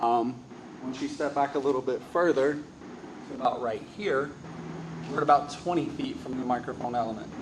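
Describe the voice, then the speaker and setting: Over noticeable background noise, a man speaks at a medium pitch. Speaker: AV equipment reviewer. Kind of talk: product review demo. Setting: large insulated shop with metal walls, concrete floor. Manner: casual, many fillers; moderate volume, carrying voice.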